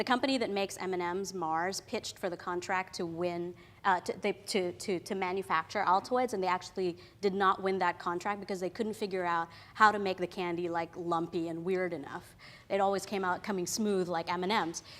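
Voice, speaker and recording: At a fairly quick pace, a woman with a medium pitch talks with fairly even intonation. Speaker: creative professional giving career talk. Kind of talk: talk to an audience. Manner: loud; casual, many fillers.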